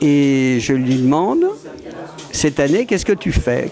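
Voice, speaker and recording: Noticeable background noise sits behind a man speaking at a fairly high pitch. He talks at a fairly slow pace with ordinary pitch variation. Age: 70s. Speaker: art collector and gallery owner. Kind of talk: interview. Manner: hesitant, many fillers and repetitions.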